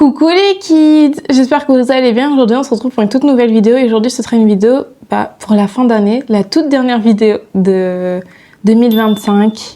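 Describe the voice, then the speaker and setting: Her pitch sits high. The woman talks at a moderate pace. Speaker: YouTuber. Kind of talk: casual vlog. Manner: chatty, hesitant with fillers.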